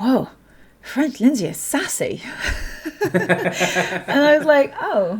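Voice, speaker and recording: With a British accent, a woman speaks with long, frequent pauses against noticeable background noise. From Britain. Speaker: polyglot language teacher. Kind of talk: podcast interview.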